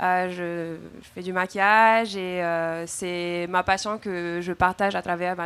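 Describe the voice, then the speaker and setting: A woman's fairly low, flat, monotone voice at a very slow pace, on a very clean recording with a silent background. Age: 20s. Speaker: student and content creator. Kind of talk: panel discussion.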